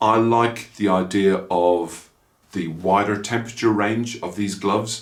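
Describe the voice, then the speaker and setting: In an Irish accent, a man talks at a fairly slow pace with a fairly low pitch and fairly even intonation, and audible room echo surrounds him. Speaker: motorcycle vlogger. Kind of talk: casual product review vlog.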